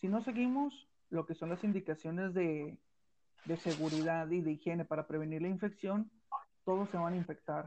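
This man's voice sits high in pitch, with a dark, mellow tone. He talks at a moderate pace with ordinary pitch variation. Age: 20s. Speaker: podcast co-host. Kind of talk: casual chat.

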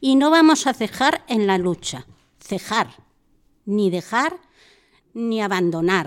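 The delivery is very slow, with very wide pitch swings and long, frequent pauses. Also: woman, fairly high pitch for a woman. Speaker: senior center member. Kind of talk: group discussion. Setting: senior center. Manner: halting.

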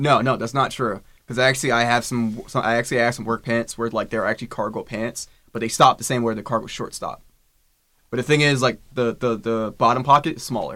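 A very fast delivery in a flat, monotone intonation. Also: man, medium pitch for a man. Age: 20s. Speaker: podcast co-host. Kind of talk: casual chat. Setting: studio.

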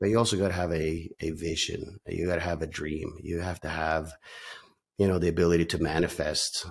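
On a very clean recording with a silent background, a man speaks at a moderate pace with a very deep, low pitch. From Norway, then Calgary Canada. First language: Norwegian. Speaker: real estate team leader. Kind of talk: casual interview conversation. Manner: filler-heavy, conversational.

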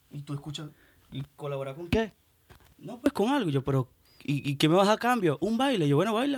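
A man with a high voice speaks at a fairly quick pace, his pitch swinging very widely and his loudness rising and falling sharply, in a dry, close recording with no echo. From Venezuela. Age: young. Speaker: musician. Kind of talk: casual chat.

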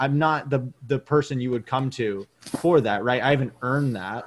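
In an American accent, a man with an unremarkable speaking voice talks at a medium pitch. His pitch varies in an ordinary way, with hardly any pauses. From Maine, US. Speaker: former pro baseball player and media producer. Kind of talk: interview.

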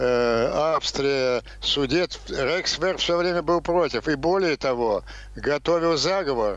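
A man talks at a very slow pace in a fairly high pitch, and his pitch variation is ordinary. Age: 80s+. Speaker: political scientist. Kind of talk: TV interview, political analysis.

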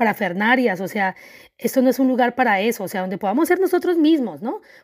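A woman's fairly high, animated voice on a very clean recording with a silent background. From Colombia. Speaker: podcast host and life coach. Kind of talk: podcast monologue. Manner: halting, repeating words.

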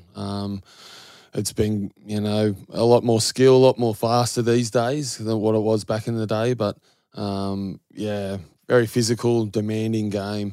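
A man's fairly low voice, dark and mellow in tone, with flat, monotone intonation, a fairly slow pace and an Australian accent. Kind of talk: casual interview.

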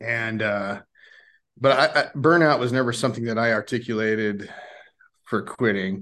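Against a quiet background, a man with medium pitch talks at a moderate pace. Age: 50s. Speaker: retired police officer. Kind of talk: casual interview chat. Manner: succinct.

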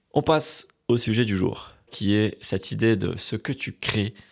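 Over a silent background in a very clean recording, a man with a fairly low pitch speaks at a very slow pace with ordinary pitch variation. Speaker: podcast host and comedian. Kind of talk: casual solo monologue. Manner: rambling, loose delivery.

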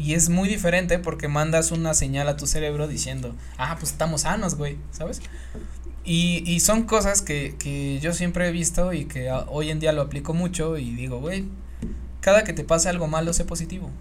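A voice with a Mexican accent over noticeable background noise. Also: moderate pace. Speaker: podcast co-host. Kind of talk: casual chat. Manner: animated.

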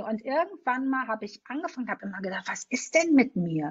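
Speaking at a fairly quick pace, a woman uses a high-pitched voice. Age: 40s. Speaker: podcast host. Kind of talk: interview. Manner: animated.

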